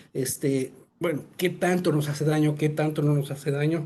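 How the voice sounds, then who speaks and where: Fairly high in pitch, a man's voice carries a dark, mellow tone. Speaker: presenter on sterilization technology. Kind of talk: webinar presentation. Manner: fast; halting, many fillers.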